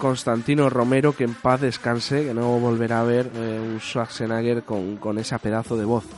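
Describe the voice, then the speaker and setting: Noticeable background noise sits behind a man speaking at medium pitch. His intonation is flat and monotone, with hardly any pauses. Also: moderate pace. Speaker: radio host. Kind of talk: casual chat.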